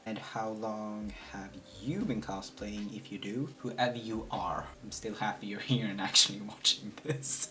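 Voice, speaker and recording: A man with a Swedish accent, his pitch fairly low and his intonation fairly even, over light background noise. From Sweden. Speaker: cosplayer and video creator; cosplay vlogger. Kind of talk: casual vlog while doing makeup. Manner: distracted, halting at times. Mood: relaxed, playful. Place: home room. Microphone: camera far.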